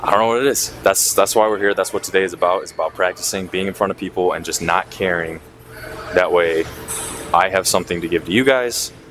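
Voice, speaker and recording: Against light background noise, a man talks at a very fast pace in a very deep, low pitch. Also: ordinary pitch variation. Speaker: vlogger. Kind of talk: casual vlog chat. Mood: slightly anxious, reflective. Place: gym. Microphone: lapel.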